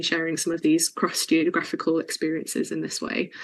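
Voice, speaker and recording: Here a woman talks at a very fast pace. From England, Chesterfield, Derbyshire. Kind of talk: interview.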